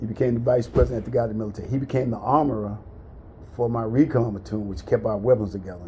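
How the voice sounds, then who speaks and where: A man's medium-pitched voice at a very fast pace, with vocal fry, a dark, mellow tone, ordinary pitch variation and big swings in loudness. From US South, central Florida. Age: 60s. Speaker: military veteran. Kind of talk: casual chat, life story.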